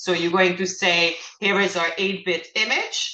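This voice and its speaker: With audible room echo in the space, a woman's voice sits at a medium pitch. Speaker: lecturer teaching image analysis. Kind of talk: lecture. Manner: halting, many fillers.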